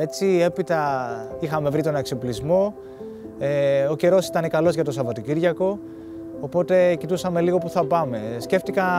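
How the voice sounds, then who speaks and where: Over clear music in the background, a man with a fairly high pitch speaks at very even loudness in a dry sound with no echo. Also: ordinary pitch variation, moderate pace. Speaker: ski mountaineer. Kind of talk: documentary interview narration. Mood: calm, reflective. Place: open country.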